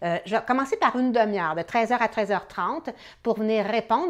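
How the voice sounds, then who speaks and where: Fairly high-pitched female speech, its pitch varying in an ordinary way. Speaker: real estate coach. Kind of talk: motivational video talk to viewers. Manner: hesitant with many fillers.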